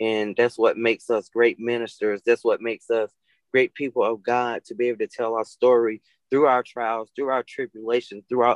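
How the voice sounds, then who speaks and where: A man with an American accent has an unremarkable speaking voice at a medium pitch and a moderate pace. The sound is dry and close with no echo. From Atlanta, Georgia, US South. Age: 30s. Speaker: minister. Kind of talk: interview.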